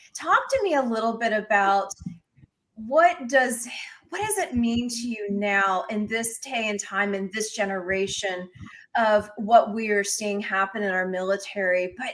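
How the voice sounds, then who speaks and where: The woman has an ordinary speaking voice and ordinary pitch variation. She talks at a moderate pace. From Pennsylvania. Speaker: talk show host. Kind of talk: interview.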